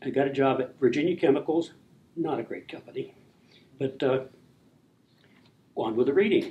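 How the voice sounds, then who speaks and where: A man's fairly high voice, dark and mellow in tone, broken by long, frequent pauses. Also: ordinary pitch variation. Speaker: author and community historian. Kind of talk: reading aloud from own memoir; presentation. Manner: fast.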